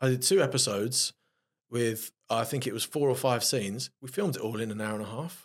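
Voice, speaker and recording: A man's medium-pitched voice with a South London accent, at a fairly quick pace with ordinary pitch variation, on a very clean recording with a silent background. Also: dry, close sound with no echo. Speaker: actor. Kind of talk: casual interview chat.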